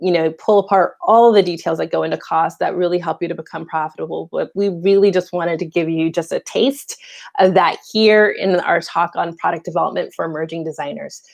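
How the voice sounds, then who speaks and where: Against a quiet background, a woman with a fairly low pitch talks at a fairly quick pace with hardly any pauses. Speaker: fashion incubator director. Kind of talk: informal educational talk. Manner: fast; animated.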